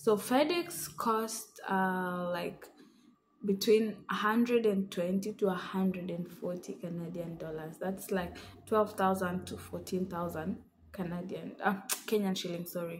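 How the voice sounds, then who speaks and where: A woman at a very slow pace, somewhat breathy, with fairly even intonation and light background noise. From Kenya. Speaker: vlogger. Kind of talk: casual tutorial vlog. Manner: hesitant, many fillers. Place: home room. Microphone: phone near.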